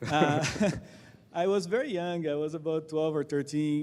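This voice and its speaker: Delivered at a fairly quick pace, the speech comes in a Portuguese accent with fairly even intonation. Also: man. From Brazil. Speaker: tech company co-founder and CTO. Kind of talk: onstage interview at a tech event.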